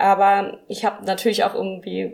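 A woman with a medium pitch talks at a fairly slow pace. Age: 20s. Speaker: deacon. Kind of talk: interview.

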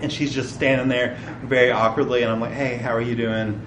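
Medium-pitched male speech against noticeable background noise. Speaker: preacher. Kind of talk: sermon. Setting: church. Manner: casual, conversational.

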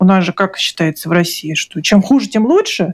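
A woman talks at a moderate pace with a medium pitch. Hers is a plain, everyday voice. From Russia. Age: 40s. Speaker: book publisher and author. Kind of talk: interview testimony.

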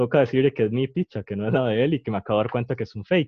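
A man talks at a very fast pace. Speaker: podcast host. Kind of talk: casual chat.

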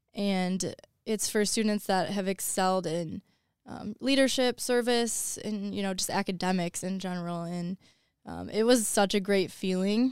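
With an American accent, a woman talks at a moderate pace and medium pitch, varying her pitch in an ordinary way. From Downriver, Michigan, near Detroit. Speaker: college student and student sports reporter. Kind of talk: casual interview.

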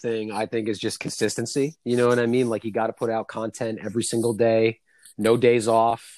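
On a very clean recording with a silent background and a dry, close sound with no echo, a man speaks with an American accent. He has an unremarkable speaking voice at a medium pitch and a moderate pace. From New York City. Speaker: podcast guest. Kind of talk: casual chat.

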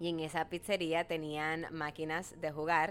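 A woman with a fairly low-pitched voice speaks in an animated tone. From Dominican Republic. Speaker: radio host and businesswoman. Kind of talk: casual interview.

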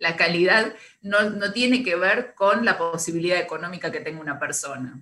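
Speaking at a moderate pace with an Argentine accent, a woman uses ordinary pitch variation and a bright, sharp tone. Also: fairly low pitch for a woman. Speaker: radio co-host. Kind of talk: casual chat.

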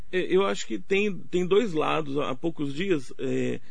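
A man is speaking. The room echo is audible. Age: 70s. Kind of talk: radio interview.

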